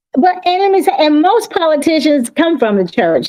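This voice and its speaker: Her pitch swinging very widely, a woman speaks with an American accent. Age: 60s. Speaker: caller on live stream panel. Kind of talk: casual discussion.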